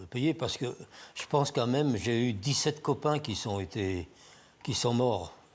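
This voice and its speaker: With long, frequent pauses, a man speaks very slowly at a medium pitch, somewhat breathy, with ordinary pitch variation, on a very clean recording with a silent background. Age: 80s+. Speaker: former resistance fighter, torture survivor. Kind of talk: interview testimony.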